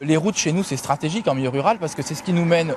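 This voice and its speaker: A fairly high-pitched man amid noticeable background noise. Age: 30s. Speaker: local politician, candidate. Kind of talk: interview.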